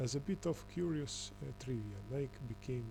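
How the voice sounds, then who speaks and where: Over music in the background, a man speaks with a non-native accent. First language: not English. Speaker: conspiracy video commentator. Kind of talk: reading aloud with commentary. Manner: halting, many fillers.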